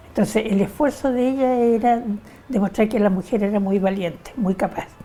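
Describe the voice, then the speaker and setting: A woman speaks at a medium pitch with ordinary pitch variation. Noticeable background noise can be heard. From Chile. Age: 80s+. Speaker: interviewee, feminist. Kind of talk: oral history interview.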